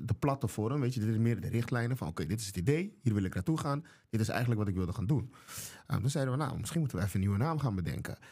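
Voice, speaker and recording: Talking very fast, a man has a dark, mellow tone that is somewhat breathy. His intonation is lively. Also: medium pitch for a man, quiet background. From Curaçao. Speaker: chef and restaurant owner; podcast guest. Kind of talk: casual interview. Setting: studio. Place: studio. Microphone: studio mic.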